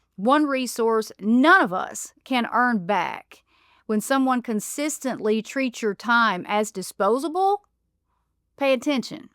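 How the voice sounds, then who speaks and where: In an Appalachian accent, a woman speaks very slowly with a bright, sharp tone, fairly high pitch and lively intonation on a very clean recording with a silent background. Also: dry, close sound with no echo. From Appalachia, USA. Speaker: podcast host. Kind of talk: podcast monologue.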